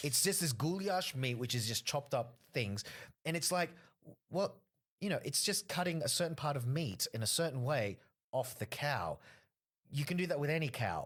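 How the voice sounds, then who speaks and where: On a very clean recording with a silent background, a man with an Australian accent and a fairly high pitch talks at a moderate pace, somewhat breathy, with lively intonation and long, frequent pauses. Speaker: stand-up comedian. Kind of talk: casual podcast interview talk.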